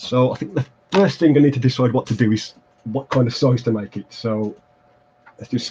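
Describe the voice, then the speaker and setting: A man with an English Midlands accent talks at a medium pitch. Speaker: terrain crafting YouTuber. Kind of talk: livestream crafting tutorial. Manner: hesitant, many fillers.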